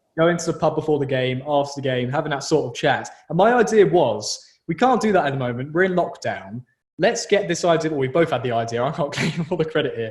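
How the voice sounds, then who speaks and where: This man speaks very fast in a southern English accent, his pitch fairly high. His intonation is lively. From southern England. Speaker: podcast host, journalism student. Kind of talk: casual chat.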